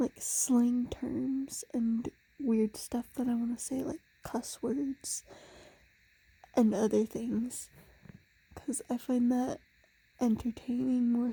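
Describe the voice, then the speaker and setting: Whispering and soft-spoken, the speaker goes at a very slow pace. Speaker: ASMR creator. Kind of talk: casual ASMR monologue. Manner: soft-spoken, near whisper; slurred words.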